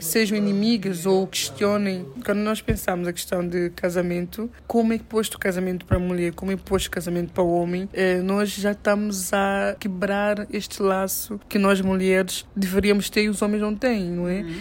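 Her delivery has hardly any pauses and a moderate pace. The woman's medium pitch stays monotone and flat. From São Tomé and Príncipe, moved to Portugal around age 10. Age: 20s. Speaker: women's rights activist and entrepreneur. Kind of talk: interview.

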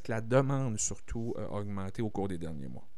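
A man with ordinary pitch variation, plus audible room echo. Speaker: community radio host. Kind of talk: radio interview.

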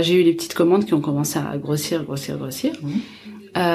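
The voice has ordinary pitch variation, heard over noticeable background noise. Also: woman. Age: 20s. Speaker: chef and entrepreneur. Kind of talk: interview.

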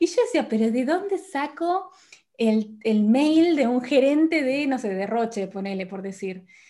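Heard in a very clean recording with a silent background, a woman with a high pitch and a dark, mellow tone speaks at a fairly slow pace with very wide pitch swings. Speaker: podcast host. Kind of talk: interview.

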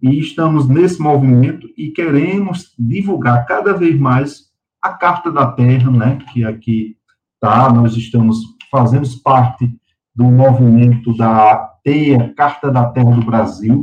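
At a very slow pace, a man with a medium pitch and ordinary pitch variation talks in a somewhat breathy voice. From Patos, sertão of Paraíba, Brazil. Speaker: lawyer and environmentalist. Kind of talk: interview.

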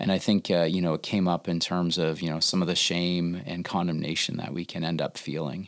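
On a very clean recording with a silent background, a man with a Canadian accent speaks in a very deep, low voice with monotone, flat intonation. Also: fairly quick pace. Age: 50s. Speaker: youth ministry staff member. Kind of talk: faith-based interview conversation.

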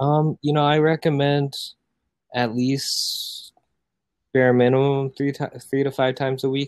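In a dry, close sound with no echo, a man with an American accent speaks at a fairly slow pace with monotone, flat intonation and long, frequent pauses. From US Midwest, Iowa (born South Korea, adopted as infant). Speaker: Instagram growth agency founder. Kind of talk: podcast interview. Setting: home sunroom, remote call.

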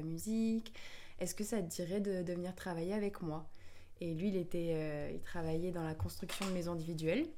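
A woman speaks at a fairly quick pace in a fairly low pitch with a dark, mellow tone. Audible room echo surrounds her voice. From France, Bordeaux. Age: 20s. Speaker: yoga teacher and singer. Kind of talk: casual chat.

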